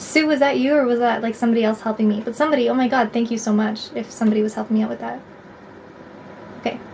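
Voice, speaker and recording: A woman with a Canadian accent talks very fast at a fairly high pitch, with fairly even intonation and noticeable background noise. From Canada, Alberta. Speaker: tarot reader livestreamer. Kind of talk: live stream chat with viewers. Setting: live stream. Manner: casual, filler-heavy.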